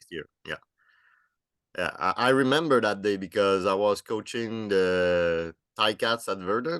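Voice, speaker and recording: Man with a Quebec accent, fairly low pitch and ordinary pitch variation, fairly slow with long, frequent pauses, big swings in loudness, dry, close sound with no echo. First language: French. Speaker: podcast host. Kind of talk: podcast interview.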